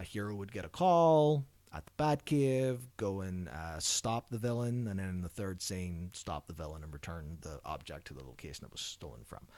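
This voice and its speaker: A man with an Irish accent and a very deep, low pitch, very wide pitch swings, a moderate pace and hardly any pauses, in a very clean recording with a silent background. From Ireland. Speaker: behavior analyst researcher. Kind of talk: podcast interview.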